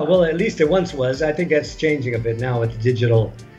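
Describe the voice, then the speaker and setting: Ordinary pitch variation over faint music in the background. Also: man. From United States (California, Washington DC). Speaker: travel writer. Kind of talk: interview answer. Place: home room. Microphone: video call.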